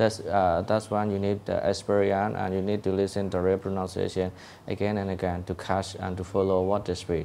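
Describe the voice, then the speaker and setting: With a Burmese accent, a man speaks fairly quickly in a fairly low, dark, mellow voice and a flat monotone. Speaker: English learning advice giver. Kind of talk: casual advice talk. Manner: halting, many fillers and repetitions.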